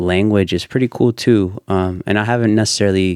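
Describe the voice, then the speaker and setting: A man with a Spanish accent. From Ecuador, raised in Indiana from age five. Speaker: videographer. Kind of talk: podcast interview. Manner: many filler words and hesitations.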